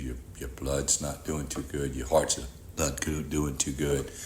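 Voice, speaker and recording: Audible room echo and noticeable background noise surround a man speaking slowly in a very deep, low pitch, at a fairly slow pace. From Louisiana (Rayne, Cajun country). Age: 60s. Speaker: heart transplant recipient. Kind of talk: testimony.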